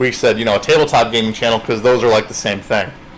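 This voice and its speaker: There is noticeable background noise as a man talks with fairly even intonation. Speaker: comedian and paranormal video show host. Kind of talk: casual chat.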